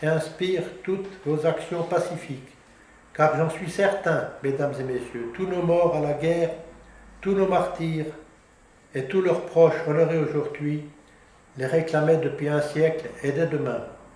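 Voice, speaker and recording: In a room with audible echo, a man with a fairly high pitch talks at a fairly slow pace, leaving long, frequent pauses. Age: 80s. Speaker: regional independence activist. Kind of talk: casual interview remarks; public speech. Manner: halting, with false starts.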